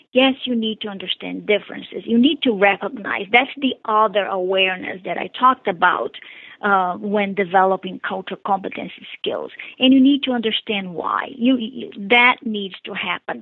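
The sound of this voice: A woman with a Brazilian accent, medium pitch and moderate pace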